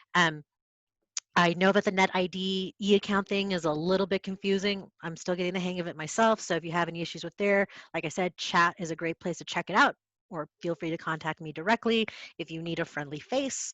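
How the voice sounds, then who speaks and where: A woman's fairly low-pitched voice at a fairly quick pace, fairly even in intonation, in a dry, close sound with no echo and a quiet background. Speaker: librarian. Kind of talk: lecture. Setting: video call. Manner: soft-spoken.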